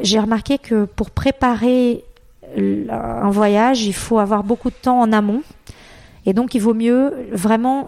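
A woman speaks very slowly at a fairly high pitch with a dark, mellow tone. Her intonation stays fairly even. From Brazil. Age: 40s. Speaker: travel agency founder. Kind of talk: interview. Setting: home office.

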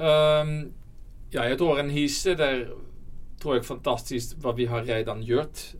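A man's fairly high voice, with fairly even intonation, a very slow pace and audible room echo. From Netherlands. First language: Dutch (speaking Swedish). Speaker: company CEO. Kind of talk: interview. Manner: halting.

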